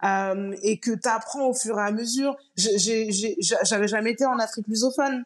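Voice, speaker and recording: With very even loudness and ordinary pitch variation, a woman talks at a fairly slow pace in a fairly high voice. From Paris region, Guadeloupean parents. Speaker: content creator and traveler. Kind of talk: casual interview chat. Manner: hesitant, many fillers.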